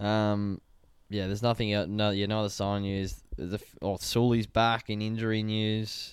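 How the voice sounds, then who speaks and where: At a fairly slow pace, the voice comes through in an Australian accent. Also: man, fairly low pitch for a man. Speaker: sports podcast host. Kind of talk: casual chat. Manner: animated.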